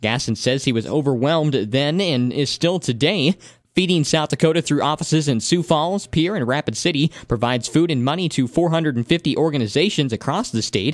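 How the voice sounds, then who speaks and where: A man with an ordinary speaking voice talks at a fairly quick pace with hardly any pauses, on a very clean recording with a silent background. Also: fairly high pitch for a man, ordinary pitch variation. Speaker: radio broadcaster. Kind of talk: radio news read. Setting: studio.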